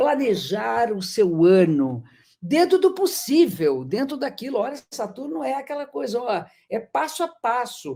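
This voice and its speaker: The voice has a dark, mellow tone with vocal fry and very wide pitch swings, at a fairly slow pace. The recording is very clean, with a silent background. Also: woman, fairly high pitch for a woman. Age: 60s. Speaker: astrologer. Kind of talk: lecture.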